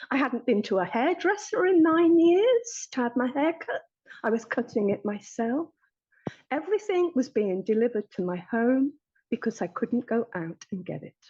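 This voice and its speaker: A woman with an English accent, high pitch and very wide pitch swings, a dark, mellow tone, a moderate pace, and a dry, close sound with no echo. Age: 60s. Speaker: therapy client. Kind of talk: testimony.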